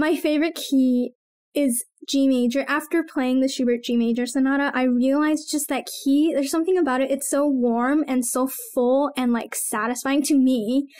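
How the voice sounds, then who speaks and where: A woman speaks at a moderate pace in a high voice, her intonation fairly even and her loudness very even, against a quiet background. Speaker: podcast co-host. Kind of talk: casual podcast Q&A chat. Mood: warm, laughing. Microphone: studio mic.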